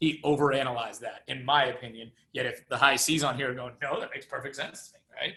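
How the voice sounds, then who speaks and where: A man's loud, bright, sharp voice, fairly high in pitch, at a very fast pace with hardly any pauses. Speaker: real estate agent and trainer. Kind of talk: training presentation. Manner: animated.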